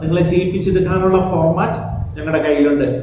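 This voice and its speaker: High-pitched male voice with fairly even intonation, amid noticeable background noise and audible room echo. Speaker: language teacher. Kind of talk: sales pitch; tutorial.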